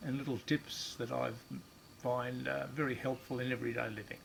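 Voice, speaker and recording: At a moderate pace, a man talks at medium pitch in a somewhat breathy voice. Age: 70s. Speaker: amputee sharing tips. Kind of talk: tutorial demonstration. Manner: casual, plain-spoken.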